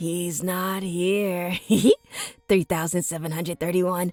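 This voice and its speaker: A woman puts on a growling character voice, fairly low-pitched and flat in intonation, speaking at a fairly slow pace over faint background music. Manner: menacing.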